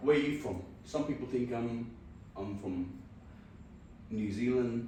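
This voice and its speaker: Fairly slow speech in a Punjabi accent with ordinary pitch variation, amid noticeable background noise and audible room echo. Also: man, medium pitch for a man. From Punjab, India. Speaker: podcaster. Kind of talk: casual chat.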